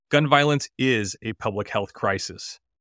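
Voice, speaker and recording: A man with a Midwestern American accent at a moderate pace, with ordinary pitch variation. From US Midwest, Illinois. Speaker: physician podcast host. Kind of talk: interview.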